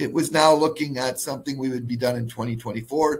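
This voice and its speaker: Somewhat breathy, a man with a fairly high pitch speaks with fairly even intonation. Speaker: mining company executive. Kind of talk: corporate webinar presentation.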